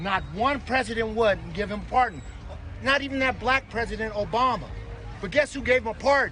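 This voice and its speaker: Over noticeable background noise, a man with an extremely high pitch speaks fairly quickly in a raised, projected voice. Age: 60s. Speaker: protester at a street protest. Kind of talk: heated debate. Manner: animated.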